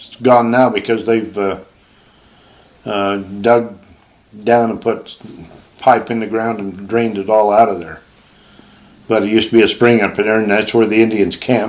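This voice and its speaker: Delivered at a moderate pace, the speech has monotone, flat intonation, big swings in loudness and long, frequent pauses. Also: man, fairly low pitch for a man. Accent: Utah. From Utah (Provo). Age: 80s+. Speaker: retired hunter and fisherman. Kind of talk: casual chat.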